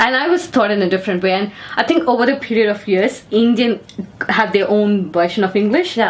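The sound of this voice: Over noticeable background noise, a woman speaks fairly quickly at a fairly high pitch, with lively intonation and very even loudness.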